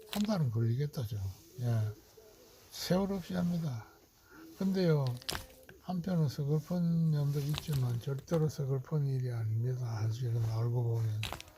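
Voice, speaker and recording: A man's fairly high voice at a fairly slow pace, with long, frequent pauses and noticeable background noise. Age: 70s. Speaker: retired hobby farmer vlogger. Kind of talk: casual video diary narration. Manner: halting, with many fillers.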